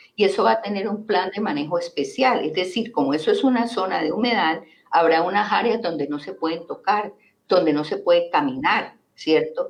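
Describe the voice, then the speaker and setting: At a moderate pace, a woman talks with lively intonation at a medium pitch. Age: 60s. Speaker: teacher and environmental activist. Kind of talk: interview on local politics. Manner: animated.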